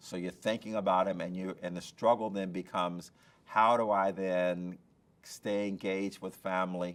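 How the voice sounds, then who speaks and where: The man's voice sits very deep and low, with monotone, flat intonation. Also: moderate pace. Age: 60s. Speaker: business leader giving career advice. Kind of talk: interview answers.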